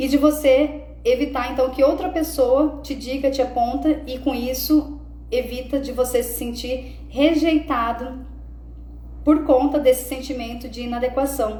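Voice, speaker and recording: A high-pitched woman speaks at a fairly slow pace in a monotone, flat intonation. Her loudness swings widely, and there is noticeable background noise. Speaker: self-development coach. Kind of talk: live stream talk. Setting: live stream.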